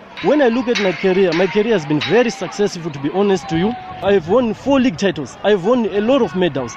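Against noticeable background noise, a man with a high voice talks at a very fast pace. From Zimbabwe. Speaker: footballer. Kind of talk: interview testimony about faith. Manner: halting.

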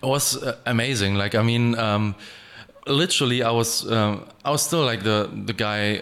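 A man's medium-pitched voice with a German accent, at a moderate pace with ordinary pitch variation and very even loudness, over noticeable background noise. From Germany, Essen. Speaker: music producer and DJ. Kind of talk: interview. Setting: studio.

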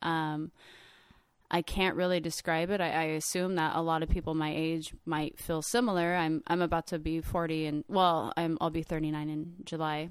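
A woman with a fairly low pitch speaks at a moderate pace in a monotone, flat intonation. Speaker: artist and traveler. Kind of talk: casual storytelling.

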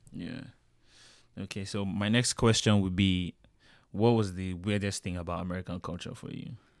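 A man with a Nigerian accent speaks at a moderate pace and a fairly low pitch, with fairly even intonation. He leaves long, frequent pauses, and the recording is very clean with a silent background. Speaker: student podcast host. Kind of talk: casual chat.

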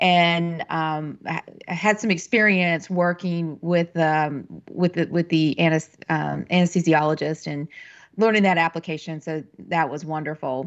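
This is an ordinary speaking voice with an American accent. The pace is fairly slow and the intonation fairly even. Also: woman, fairly low pitch for a woman. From western North Carolina. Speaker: pharmacy professor. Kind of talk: interview.

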